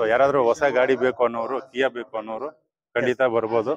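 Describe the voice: A man with a medium pitch speaks fast, with little pitch movement.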